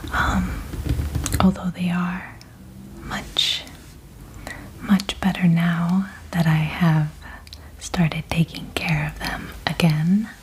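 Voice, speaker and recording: Against noticeable background noise, a soft-spoken woman talks at a very slow pace with long, frequent pauses. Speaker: ASMR creator. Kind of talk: ASMR soft speaking.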